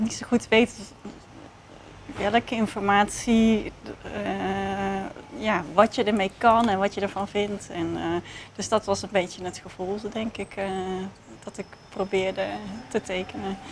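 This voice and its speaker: Speaking at a fairly slow pace with a Dutch accent, a woman of medium pitch uses a monotone, flat intonation, with big swings in loudness and long, frequent pauses. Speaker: research participant. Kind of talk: casual chat. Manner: halting.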